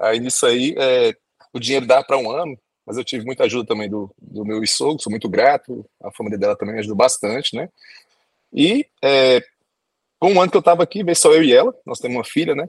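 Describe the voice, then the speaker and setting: Someone speaks at a fairly quick pace with lively intonation, in a dry, close sound with no echo. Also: man, medium pitch for a man. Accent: Brazilian. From Brazil. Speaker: doctor and immigration agent. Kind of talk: podcast interview.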